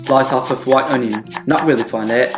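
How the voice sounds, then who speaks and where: Over music in the background, a man speaks at a medium pitch in an upbeat tone. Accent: British. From England. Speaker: former Michelin star chef. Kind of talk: cooking video voiceover. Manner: casual, upbeat.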